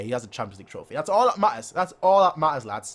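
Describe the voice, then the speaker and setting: Very wide pitch swings mark a man talking at a very fast pace. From Germany, Munich. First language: German. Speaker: football fan YouTuber. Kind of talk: live stream chat reading comments. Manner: animated.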